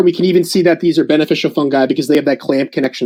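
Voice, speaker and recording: A man talks with a dark, mellow tone. Nothing but quiet fills the background. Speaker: soil ecology presenter. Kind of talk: slide presentation. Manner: fast; filler-heavy, halting.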